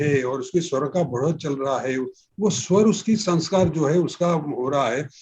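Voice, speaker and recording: A man speaks with ordinary pitch variation. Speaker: classical vocalist. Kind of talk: interview answer.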